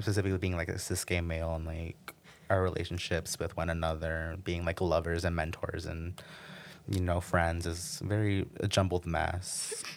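A man with a very deep, low voice and an American accent talks at a moderate pace on a very clean recording with a silent background. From Michigan, Flint. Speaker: student. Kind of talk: casual chat.

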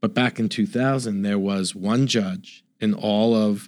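In a very clean recording with a silent background, a man with a plain, everyday voice talks at a moderate pace, his fairly low pitch showing ordinary variation. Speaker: author and father. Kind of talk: interview.

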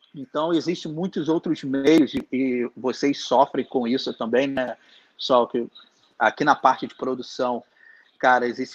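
A man talks in an unremarkable speaking voice at a medium pitch with fairly even intonation. The background is quiet, and the sound is dry and close with no echo. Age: 30s. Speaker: concert promoter. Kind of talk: live-streamed interview, casual chat.

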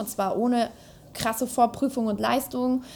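A woman's fairly high voice at a moderate pace, an unremarkable speaking voice. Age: 20s. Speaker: politician. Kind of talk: interview.

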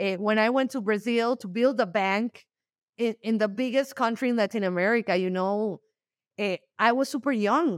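With a Spanish accent, a woman talks at a moderate pace in a fairly high voice with ordinary pitch variation, the sound dry and close with no echo. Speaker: startup founder and CEO. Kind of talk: interview. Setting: remote call from Mexico. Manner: animated, repeats words when starting.

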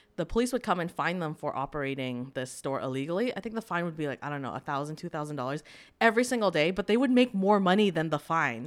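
A woman with a Canadian accent talks at a very fast pace with hardly any pauses, very wide pitch swings and an animated tone. The recording is very clean, with a silent background. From Canada, Vancouver. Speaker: podcast host. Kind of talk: casual chat.

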